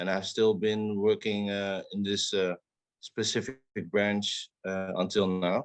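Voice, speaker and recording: Delivered at a very slow pace with a southern Dutch accent, the voice stays monotone and flat, recorded with a dry, close sound and no echo. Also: man, fairly low pitch for a man. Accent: Dutch, southern soft G. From southern Netherlands. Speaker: podcast co-host. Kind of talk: casual chat.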